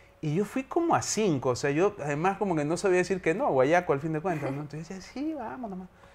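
The delivery is very fast, with hardly any pauses. The intonation is lively throughout. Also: man, high pitch for a man. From Ecuador, Guayaquil; Ecuador. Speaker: theatre director and university teacher; teacher. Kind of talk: interview. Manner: hesitant, many fillers. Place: studio.

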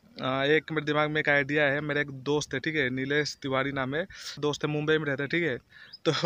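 The man's delivery is flat and monotone, with very even loudness and a bright, sharp tone. He moves at a fairly quick pace in a dry sound with no echo. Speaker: vlogger. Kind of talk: casual vlog chat. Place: open country. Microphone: phone near.

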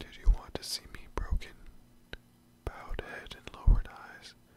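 Whispering from a man, at a very slow pace. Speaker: ASMR creator. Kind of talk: poetry reading. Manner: whispered, soft, up close. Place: home room. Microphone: studio mic.

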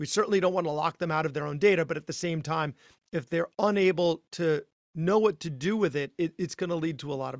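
A man with a normal speaking voice talks at a fairly quick pace and a fairly high pitch, with ordinary pitch variation. The sound is dry and close, with no echo and a quiet background. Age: 40s. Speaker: physician podcast host. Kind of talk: interview.

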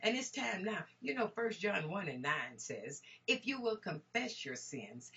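With a fairly slow pace, a woman speaks at a fairly high pitch, her energetic tone marked by vocal fry and very wide pitch swings. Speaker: minister, Bible teacher. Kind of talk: sermon, Bible teaching. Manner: energetic, exclamatory, preacher-like delivery. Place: home room. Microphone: webcam.

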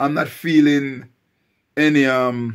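There is a quiet background behind this man's voice. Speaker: vlogger. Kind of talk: casual vlog chat. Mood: unwell, describing a throat complaint. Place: home room. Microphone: phone near.

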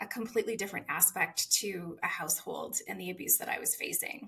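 A woman with a Western Canadian accent talks at a fairly quick pace. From Saskatchewan, Canada. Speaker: author; podcast guest. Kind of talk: personal testimony interview. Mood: earnest, emotional personal story. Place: home room.

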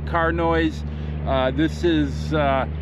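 Noticeable background noise is present, yet the sound stays dry with no echo. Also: man. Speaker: fishing vlogger. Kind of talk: casual vlog chat. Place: boat. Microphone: phone near.

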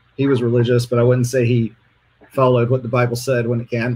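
A man speaks at a very fast pace in a medium pitch. His voice is somewhat breathy. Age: 40s. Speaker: interview guest sharing dating experiences. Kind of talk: casual interview.

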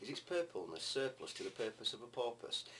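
The speech moves at a fairly quick pace. Light background noise sits behind it. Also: man. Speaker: amateur poetry reader. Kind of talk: poetry reading. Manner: fast. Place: home room. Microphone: webcam.

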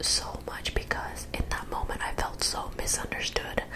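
Whispering and soft-spoken, a woman talks in a tearful tone at a fairly slow pace. Noticeable background noise runs underneath. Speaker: video creator. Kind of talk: personal storytelling vlog. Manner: tearful soft whisper, hurt. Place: home room. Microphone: studio mic.

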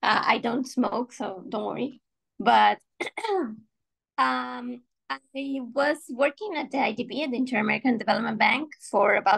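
Against a quiet background, a woman with vocal fry speaks at a fairly slow pace and fairly high pitch with ordinary pitch variation. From Ecuador and Brazil. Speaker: civil engineer and election candidate; election candidate. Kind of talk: candidate speech in online hustings; hustings answer in online meeting. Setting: video call. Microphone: video call.

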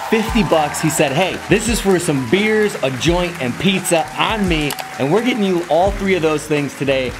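Music plays behind a man who speaks at a moderate speed. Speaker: vlogger. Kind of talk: casual vlog chat. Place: home room. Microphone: phone near.

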